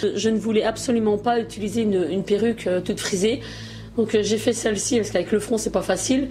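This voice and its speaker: Noticeable background noise sits behind a woman speaking very fast at a fairly high pitch, her loudness very even and her intonation fairly even. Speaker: beauty YouTuber. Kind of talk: makeup tutorial. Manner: hesitant, many fillers.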